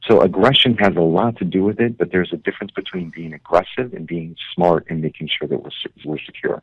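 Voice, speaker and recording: Speaking at a very fast pace with hardly any pauses, a man with a very deep, low pitch shows ordinary pitch variation and big swings in loudness. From Korea. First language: Korean. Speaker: political party leader. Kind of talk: radio interview. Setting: phone call.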